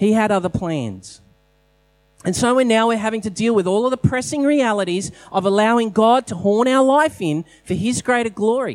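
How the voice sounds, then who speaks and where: At a moderate pace, a man with an Australian accent talks in a high voice with ordinary pitch variation. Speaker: pastor. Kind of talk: sermon. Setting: church.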